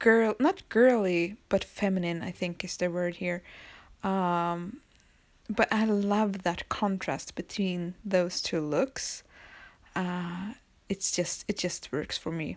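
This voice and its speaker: In a very clean recording with a silent background, a woman with a Swedish accent speaks at a very slow pace, a medium pitch, and ordinary pitch variation. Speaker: planner hobby vlogger. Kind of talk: casual tutorial. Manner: halting.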